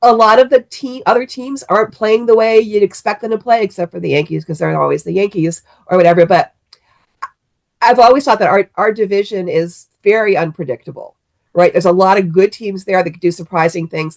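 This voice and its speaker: A woman with an American accent and a plain, everyday voice speaks at a fairly quick pace and medium pitch. Her loudness swings widely, and her pitch variation is ordinary. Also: dry, close sound with no echo. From Cleveland, Ohio. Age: 60s. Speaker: sports fan guest. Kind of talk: casual sports chat.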